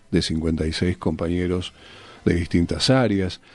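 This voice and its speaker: A man is speaking. His pitch is very deep and low. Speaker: radio host. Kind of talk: radio interview, host questions.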